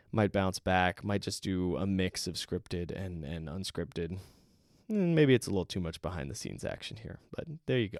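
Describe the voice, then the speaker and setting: A man with a very deep, low voice talks at a fairly quick pace with ordinary pitch variation, recorded very cleanly against a silent background with a dry, close sound and no echo. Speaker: indie game developer and podcast host. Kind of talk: solo podcast monologue. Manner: rushed; scripted delivery in main part, off the cuff at end.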